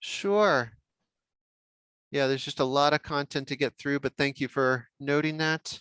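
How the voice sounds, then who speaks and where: A man with an American accent speaks at a fairly high pitch with fairly even intonation, leaving long, frequent pauses. The recording is very clean, dry and close, with no echo and a silent background. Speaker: software workshop trainer. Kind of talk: technical training workshop.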